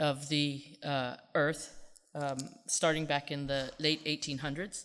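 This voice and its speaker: This woman has a very deep, low voice. She talks at a moderate pace. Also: very clean recording, silent background. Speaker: geophysics researcher. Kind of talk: lecture.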